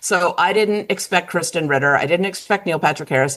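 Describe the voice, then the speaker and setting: With an American accent, a woman speaks in an animated tone at a fairly quick pace. Her pitch moves in very wide swings over noticeable background noise. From US South, Southern Virginia. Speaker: podcast guest. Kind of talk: casual chat.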